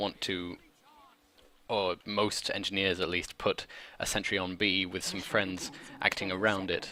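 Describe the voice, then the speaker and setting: A man's very deep, low voice with a bright, sharp tone, flat and monotone, with long, frequent pauses. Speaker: esports caster. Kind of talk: live commentary. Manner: fast.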